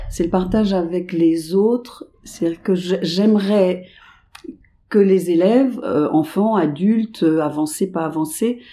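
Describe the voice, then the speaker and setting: Very slowly, a woman speaks in a dark, mellow tone with ordinary pitch variation. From Paris suburbs, France. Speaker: dance teacher. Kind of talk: interview.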